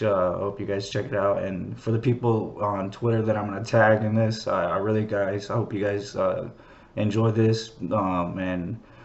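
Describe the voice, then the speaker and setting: A man's fairly low voice at a fairly slow pace, monotone and flat, with audible room echo. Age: 30s. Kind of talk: casual monologue. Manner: halting, many fillers.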